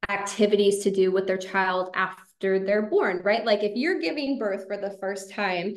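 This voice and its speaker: A woman with an ordinary speaking voice talks at medium pitch and a moderate pace. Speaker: social media marketing consultant. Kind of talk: webinar presentation. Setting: video call webinar.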